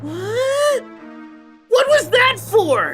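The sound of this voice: Someone performs a cartoonish character voice. Faint music plays in the background.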